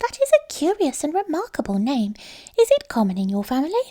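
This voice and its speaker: A woman's squeaky put-on character voice, high in pitch, at a fairly quick pace. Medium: read story. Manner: polite, gentle.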